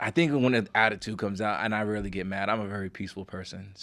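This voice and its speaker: With a Bronx accent, a man speaks at a very fast pace in a fairly low pitch, using ordinary pitch variation, on a very clean recording with a silent background. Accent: Bronx New York. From Bronx, New York. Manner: calm, peaceful.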